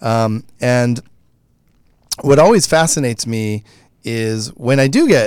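In a very clean recording with a silent background, a man talks in a plain, everyday voice at medium pitch with ordinary pitch variation. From Michigan. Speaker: creator of a storytelling show. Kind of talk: casual chat. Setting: studio.

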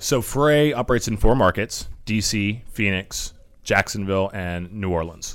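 On a very clean recording with a silent background, a man with a plain, everyday voice speaks at a moderate pace, his fairly low pitch showing ordinary variation. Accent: American. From Washington DC area, US. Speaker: company founder and CEO. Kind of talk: radio interview.

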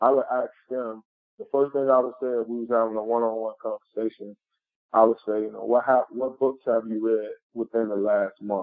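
Here is a man with an ordinary speaking voice at medium pitch. He keeps a moderate pace and fairly even intonation. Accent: American. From Chicago West Side. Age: 30s. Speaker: motivational speaker. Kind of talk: interview.

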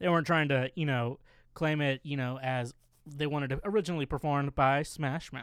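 In a very clean recording with a silent background, a man with a fairly high pitch uses fairly even intonation in an ordinary speaking voice. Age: 20s. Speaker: podcast co-host. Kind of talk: casual chat.

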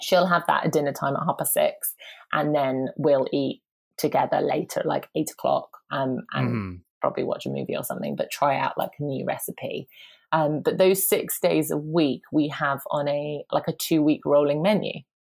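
In a strong southern English accent, a woman speaks at a moderate pace. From southern England. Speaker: personal trainer and parenting podcaster. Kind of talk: casual interview chat. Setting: remote call.

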